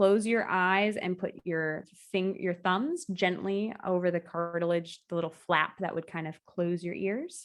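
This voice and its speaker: With fairly even intonation and a fairly slow pace, this is an unremarkable speaking voice. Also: woman. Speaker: yoga instructor. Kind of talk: interview.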